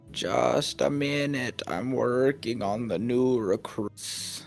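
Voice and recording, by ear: Over clear background music, a man at a medium pitch speaks very slowly in a put-on character voice.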